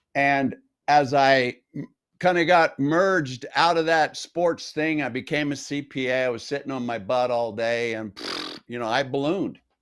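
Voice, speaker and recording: A man with an American accent talks in a normal speaking voice, fairly high in pitch, at a moderate pace with ordinary pitch variation. The recording is very clean, with a silent background. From North Las Vegas, Nevada, US. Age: 60s. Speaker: health coach. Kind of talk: interview.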